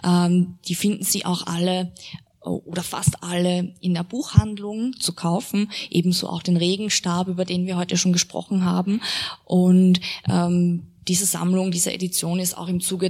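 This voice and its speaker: A woman talks at a fairly slow pace in a fairly low, somewhat breathy voice. Her intonation is flat and monotone. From Austria. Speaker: literary translator and interpreter, moderating a reading. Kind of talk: moderated author reading with consecutive interpreting. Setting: event venue with live audience.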